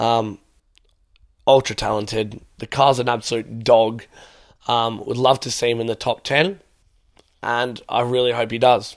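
A man with an Australian accent speaks at a medium pitch and fairly slow pace, with fairly even intonation. Long, frequent pauses fill the very clean recording, with a silent background. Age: young. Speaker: student podcaster. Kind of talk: casual solo podcast Q&A.

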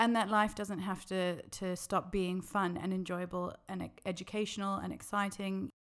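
A woman with an Australian accent speaks at a medium pitch and a moderate pace. Her intonation is monotone and flat, and she hardly pauses. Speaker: occupational therapist. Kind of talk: interview.

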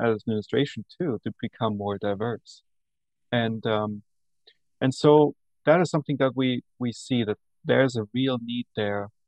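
Here a man speaks in an Austrian accent. His pitch is medium and his pace fairly slow. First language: German. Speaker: university administrator and professor. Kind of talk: interview. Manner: enthusiastic.

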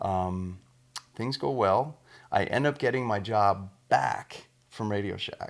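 A man's ordinary speaking voice, fairly low in pitch, at a fairly slow pace with an American accent. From US Midwest, small-town Iowa. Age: 40s. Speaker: touring guitarist. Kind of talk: casual interview. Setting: in the guest's house.

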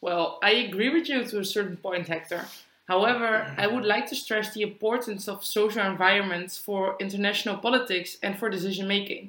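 Against noticeable background noise, a woman speaks at a fairly quick pace. Her pitch is medium, with ordinary variation. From Netherlands. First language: Dutch. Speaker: student podcast co-host. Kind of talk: prepared discussion, partly read.

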